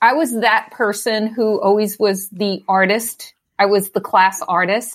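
In an American accent, a woman with an unremarkable speaking voice talks fairly slowly at a medium pitch with fairly even intonation. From New York, Staten Island. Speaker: executive leadership coach and design leader. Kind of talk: casual interview chat.

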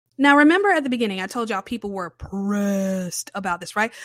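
In an unremarkable speaking voice, a woman talks at a medium pitch and a fairly quick pace with lively intonation, the sound dry and close with no echo. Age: 30s. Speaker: film critic podcaster. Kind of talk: casual solo film review.

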